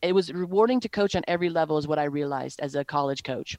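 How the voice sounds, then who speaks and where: With an American accent, a woman uses a normal speaking voice, fairly low in pitch with ordinary pitch variation, recorded dry and close with no echo. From Wisconsin. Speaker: sales enablement professional. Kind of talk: interview.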